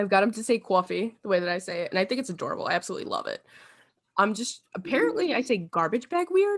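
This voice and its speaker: A woman talks at a very fast pace in an animated tone with a New York accent. Her fairly high voice swings very widely in pitch. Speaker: podcast host. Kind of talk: casual chat.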